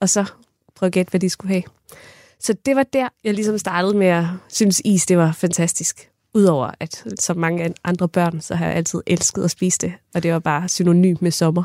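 A woman with an unremarkable speaking voice talks at a moderate pace, fairly low in pitch with ordinary variation. The recording is very clean with a silent background and a dry, close sound with no echo. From Funen, Denmark (Kerteminde). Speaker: ice cream maker and food scientist. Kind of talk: interview. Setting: studio.

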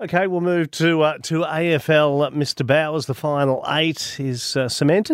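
An Australian accent with hardly any pauses. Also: man, fairly high pitch for a man, fairly even intonation, moderate pace. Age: 50s. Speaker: sports podcast host. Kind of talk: casual sports chat.

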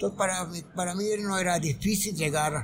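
Fairly even in intonation, the speech comes at a moderate pace with noticeable background noise and audible room echo. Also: man. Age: 80s+. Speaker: entertainment journalist. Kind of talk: interview. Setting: live broadcast at a conference.

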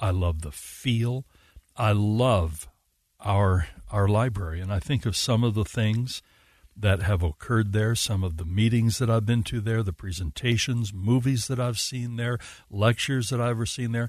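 A somewhat breathy man's voice, fairly low in pitch, at a moderate pace with ordinary pitch variation, against a quiet background. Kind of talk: live radio host patter, thanking a guest and teasing the next segment before a break.

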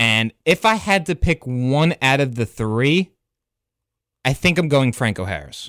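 With an American accent, the speaker uses very wide pitch swings at a fairly slow pace in a very clean recording with a silent background and a dry, close sound with no echo. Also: man, medium pitch for a man. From New Jersey. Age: 20s. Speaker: sports podcast co-host. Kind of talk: casual chat. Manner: animated.

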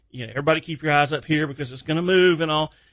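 This man's voice sits fairly high. He speaks with a Southern US accent. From South Carolina. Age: 50s. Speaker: outdoors radio host. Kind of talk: casual radio interview. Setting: studio.

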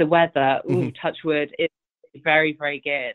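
In a British accent, a woman speaks with a very deep, low pitch. Her delivery is monotone and flat, at a fairly slow pace. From England. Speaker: event organizer. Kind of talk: casual interview.

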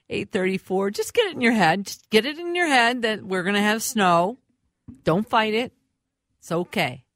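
Talking at a fairly slow pace, a woman with a fairly high pitch uses very wide pitch swings and big swings in loudness, in a dry, close sound with no echo. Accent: Upper Midwest. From Minneapolis, Minnesota. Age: 60s. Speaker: fill-in radio host. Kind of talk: radio talk show interview.

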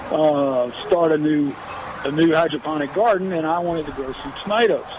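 Over noticeable background noise, a man with an American accent talks at a moderate pace in a fairly high pitch with ordinary pitch variation. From Texas Gulf Coast (Freeport). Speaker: caller. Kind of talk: call-in question.

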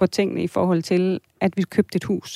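Dry and close with no echo, a woman's voice has a dark, mellow tone on a very clean recording with a silent background. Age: 40s. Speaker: listener seeking financial advice, family counselor. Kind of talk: advice radio conversation. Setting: radio studio.

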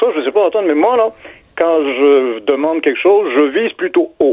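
Pitched fairly high, this man's voice is an unremarkable speaking voice. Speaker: literature professor. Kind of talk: radio interview.

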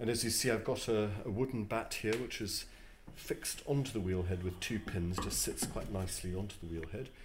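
A man at a fairly low pitch, fairly quick pace and ordinary pitch variation. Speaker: potter. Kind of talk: demonstration and interview. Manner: halting.

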